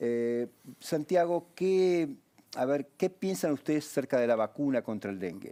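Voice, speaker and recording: The tone is dark and mellow. Delivery is fairly slow, with lively intonation. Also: man, fairly high pitch for a man. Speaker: TV health show host, doctor. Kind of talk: TV interview.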